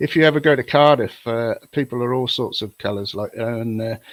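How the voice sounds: A man speaks at a fairly quick pace with medium pitch and fairly even intonation, in a dry, close sound with no echo.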